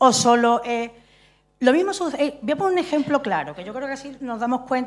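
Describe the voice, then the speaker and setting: A woman's very fast pace with very wide pitch swings. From Andalusia. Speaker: stage director and playwright; speaker. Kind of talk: audience contribution in forum. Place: stage.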